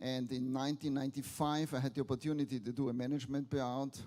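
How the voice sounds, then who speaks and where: A man talks at a very fast pace with a medium pitch. His tone is dark and mellow. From Austria, Vienna. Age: 70s. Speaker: business angel, keynote speaker. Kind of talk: conference keynote.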